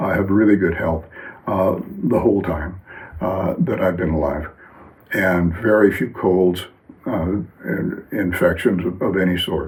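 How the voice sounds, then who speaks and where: Speech comes at a fairly slow pace with long, frequent pauses and ordinary pitch variation, amid noticeable background noise and audible room echo. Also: man, very deep, low pitch for a man. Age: 70s. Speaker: wellness teacher. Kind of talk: lecture. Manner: halting, many fillers.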